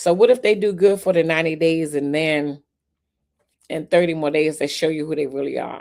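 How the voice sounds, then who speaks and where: Set in a very clean recording with a silent background, a woman speaks at a fairly low pitch and moderate pace, with a dark, mellow tone and lively intonation. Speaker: livestream talk show host. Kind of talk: casual livestream chat reading viewer comments. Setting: multi-platform livestream.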